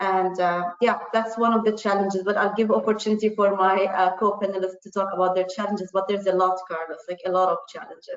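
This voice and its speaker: With an Arabic accent, a woman speaks at a very fast pace in a monotone, flat delivery, hardly pausing at all. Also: medium pitch for a woman. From Jordan. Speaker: panelist. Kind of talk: panel discussion.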